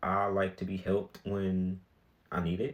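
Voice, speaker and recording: Very clean recording, silent background, with a man at a fairly low pitch. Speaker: podcast host. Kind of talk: solo podcast monologue. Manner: casual, filler-heavy.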